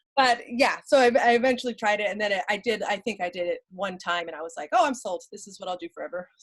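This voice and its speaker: A woman talks loudly at a very fast pace, at a medium pitch. She leaves hardly any pauses. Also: lively intonation. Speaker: comedian. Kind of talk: casual chat.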